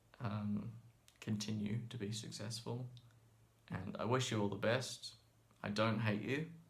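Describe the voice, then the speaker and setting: The delivery is monotone and flat, at a fairly slow pace with long, frequent pauses. Room echo is audible. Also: man. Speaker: violin and viola teacher. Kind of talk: emotional open-letter monologue. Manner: halting.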